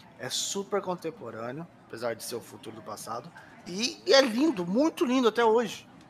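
A man with a high pitch and very wide pitch swings talks at a moderate pace, his loudness swinging a lot, with noticeable background noise. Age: 30s. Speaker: podcast co-host. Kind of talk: casual chat.

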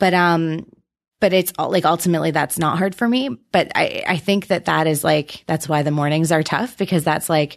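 A woman speaks with an Ontario accent. The background is quiet. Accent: Canadian (Ontario). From southwestern Ontario, Canada. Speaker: challenge team leader. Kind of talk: casual chat. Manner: laughs often, hesitant with many ums.

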